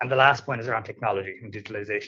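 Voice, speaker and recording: A man with an Irish accent speaks with fairly even intonation. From Ireland. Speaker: tax manager, panelist. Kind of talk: conference panel talk.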